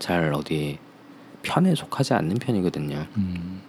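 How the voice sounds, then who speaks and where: Music plays in the background as a man talks at a fairly slow pace in a very deep, low voice. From Seoul. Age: 30s. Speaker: interview guest. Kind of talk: casual interview.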